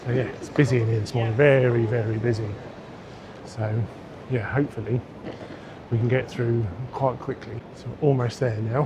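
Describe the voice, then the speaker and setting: Over noticeable background noise, a man speaks at a moderate pace and a medium pitch, with monotone, flat intonation and long, frequent pauses. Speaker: travel vlogger. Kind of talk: vlog talk to camera. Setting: busy airport terminal; outdoors walking. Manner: quiet.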